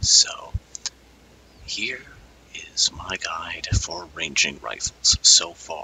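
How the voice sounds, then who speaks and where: A man whispering at a very slow pace with long, frequent pauses and noticeable background noise. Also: big swings in loudness. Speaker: gaming youtuber. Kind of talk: gameplay tutorial. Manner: soft-spoken.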